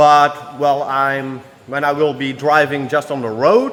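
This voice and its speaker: Amid noticeable background noise and audible room echo, a man with a non-native accent talks at a fairly slow pace and fairly high pitch. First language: not English. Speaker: car tuning youtuber. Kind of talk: workshop vlog tutorial. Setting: workshop. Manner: casual, halting with fillers.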